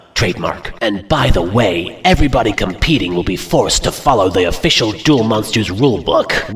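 Medium pitch and a fairly quick pace from a man. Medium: fan dub. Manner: pompous, boastful, melodramatic.

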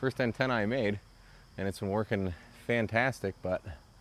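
A man talks at a fairly quick pace in a plain, everyday voice, fairly low-pitched with fairly even intonation. The sound is dry with no echo, over light background noise. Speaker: ham radio hobbyist. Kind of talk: casual tutorial show-and-tell.

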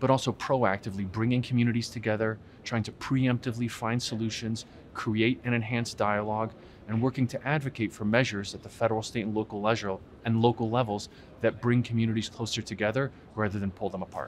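Light background noise sits behind a man talking at a very fast pace. His intonation is monotone and flat. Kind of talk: interview answer. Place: hall.

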